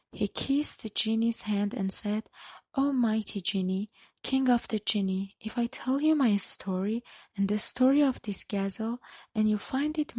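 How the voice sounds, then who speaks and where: Soft-spoken words come at a fairly slow pace. The background is quiet. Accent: non-native. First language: not English. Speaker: storyteller. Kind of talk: reading aloud. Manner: halting.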